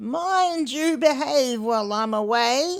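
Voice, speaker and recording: This is a put-on character voice. It is high-pitched and fairly slow. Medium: read story. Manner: gentle, warm.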